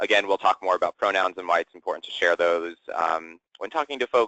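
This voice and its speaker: A man talks with an American accent at a fairly quick pace. The sound is dry and close with no echo. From US Midwest, southwest Ohio. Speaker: LGBTQ inclusion educator. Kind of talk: webinar presentation. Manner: fast.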